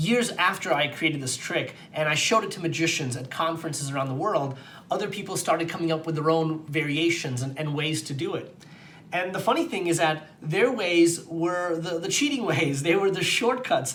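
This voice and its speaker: Audible room echo and noticeable background noise surround a man speaking at a moderate pace. His pitch is high, with ordinary pitch variation. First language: not English. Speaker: magician. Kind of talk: magic demonstration and explanation. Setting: on camera with a host.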